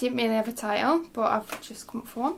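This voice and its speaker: The woman has a fairly high pitch with ordinary pitch variation. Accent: West Yorkshire. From Yorkshire, Halifax. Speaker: poet. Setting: home, spare room.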